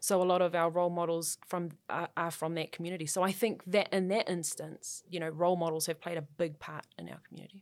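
Very fast speech from a woman with a New Zealand accent, fairly low in pitch and monotone with flat intonation, on a very clean recording with a silent background. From New Zealand, South Auckland. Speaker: sports journalist. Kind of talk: casual chat.

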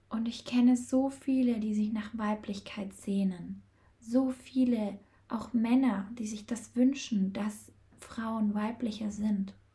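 At a very slow pace, a woman speaks in a somewhat breathy, dark and mellow tone, fairly high in pitch and monotone, with flat intonation. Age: 20s. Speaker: podcast host and feminine-energy coach. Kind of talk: solo podcast monologue.

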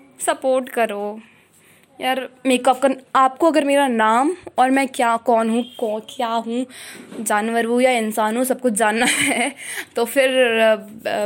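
This woman speaks in a high voice. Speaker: podcaster. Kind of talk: casual monologue. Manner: halting.

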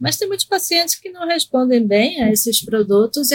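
A woman speaks at fairly high pitch. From Recife, Brazil (born in Argentina). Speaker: psychiatrist. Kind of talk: interview on medical topic.

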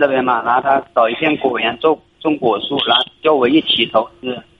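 His intonation is fairly even. The man talks at a fairly quick pace. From Jiangxi, China. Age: 20s. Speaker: caller. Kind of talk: phone call-in. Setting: phone call. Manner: halting. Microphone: poor phone line.

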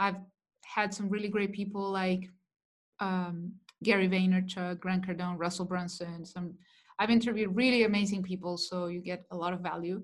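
A woman talks at a moderate pace with a Spanish accent. Her intonation stays flat and monotone. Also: medium pitch for a woman. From Chile. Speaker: digital marketing coach. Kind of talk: interview.

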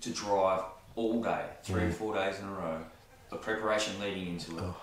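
A man with an Australian accent talks at a fairly quick pace in a fairly low voice over noticeable background noise. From Newcastle, New South Wales, Australia. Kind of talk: casual interview chat. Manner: hesitant, many fillers.

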